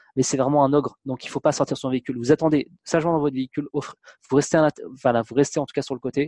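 Very fast and monotone, with flat intonation, a man speaks at a fairly high pitch in a dark, mellow tone, the sound dry and close with no echo. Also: quiet background. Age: 30s. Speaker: travel blogger. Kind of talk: interview. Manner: halting.

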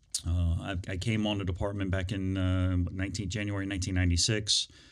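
A man's very deep, low voice with an American accent, very fast and monotone with flat intonation, on a very clean recording with a silent background. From Northern Virginia, US. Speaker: police chief. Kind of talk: interview. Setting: studio.

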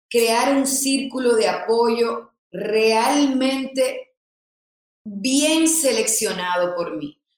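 Her pitch is high for a woman, and this woman's speech shows ordinary pitch variation. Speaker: influencer and content creator. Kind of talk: interview.

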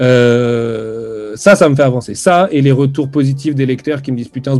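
A man's voice of medium pitch with a dark, mellow tone. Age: 30s. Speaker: comics editor. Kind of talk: casual interview. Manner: hesitant, many fillers.

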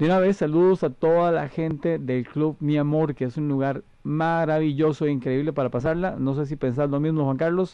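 A man at a fairly high pitch, with ordinary pitch variation, a moderate pace, and hardly any pauses. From Costa Rica. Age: 50s. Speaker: radio host and wedding singer. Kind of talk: casual chat.

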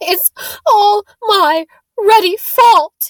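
The speaker uses a put-on character voice with an extremely high pitch. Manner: guilt-ridden, distraught.

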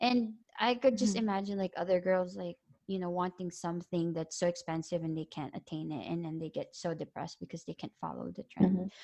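Recorded with a dry, close sound and no echo, a woman speaks at a very fast pace with a dark, mellow tone, a fairly low pitch, and ordinary pitch variation. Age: 30s. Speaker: podcast host. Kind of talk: casual chat.

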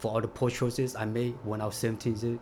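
The man's voice comes across as somewhat breathy. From US, California; immigrated from Vietnam at age eight. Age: 40s. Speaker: formerly incarcerated immigrant facing deportation. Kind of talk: interview testimony.

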